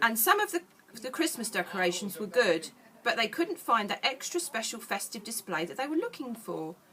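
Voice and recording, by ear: The words are read aloud in a natural voice.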